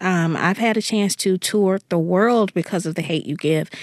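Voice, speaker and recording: A woman with an American accent and an ordinary speaking voice, medium pitch and ordinary pitch variation, at a moderate pace on a very clean recording with a silent background. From US South, Jackson, Mississippi. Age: 30s. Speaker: young adult novelist. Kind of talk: interview.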